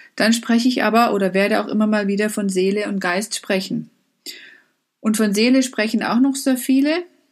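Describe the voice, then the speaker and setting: With ordinary pitch variation, the woman's voice comes across somewhat breathy. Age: 50s. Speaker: life coach. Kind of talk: motivational talk.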